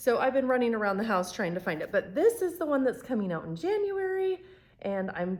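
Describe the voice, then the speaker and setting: Her intonation is lively as the woman speaks. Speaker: fiction author and YouTuber. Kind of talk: casual vlog talk to camera. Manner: slow.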